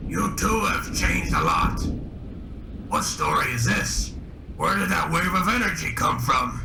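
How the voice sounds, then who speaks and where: A man in a cartoonish character voice, moderate pace, long and frequent pauses, loud background noise behind him. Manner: sarcastic.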